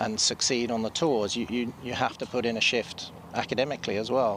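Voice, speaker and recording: A man's medium-pitched voice with an English accent at a moderate pace. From England. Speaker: golf commentator. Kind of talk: live commentary.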